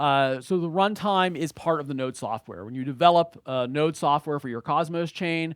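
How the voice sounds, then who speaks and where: On a very clean recording with a silent background, a man talks in an American accent at a moderate pace. His intonation is lively, and the sound is dry and close with no echo. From United States. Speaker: blockchain educator, conference speaker. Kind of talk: conference talk. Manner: halting, many fillers.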